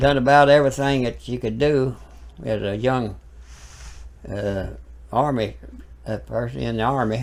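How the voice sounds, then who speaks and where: A man with an Alabama accent at a moderate pace, with fairly even intonation and long, frequent pauses. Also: medium pitch for a man. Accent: Southern US (Alabama). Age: 80s+. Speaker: preacher. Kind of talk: casual interview.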